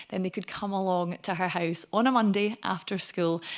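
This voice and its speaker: On a very clean recording with a silent background, a woman of medium pitch speaks at a moderate pace in a West Highland Scottish accent with fairly even intonation. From Scotland, Argyll (Connel near Oban). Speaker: Gaelic singer and language advocate. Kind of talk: lecture.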